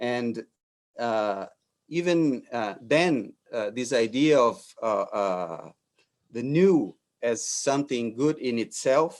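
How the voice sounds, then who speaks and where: Speaking very slowly in a Brazilian Portuguese accent, a man uses lively intonation and leaves long, frequent pauses. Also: medium pitch for a man. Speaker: architect. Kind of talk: lecture. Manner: halting, many fillers and repetitions.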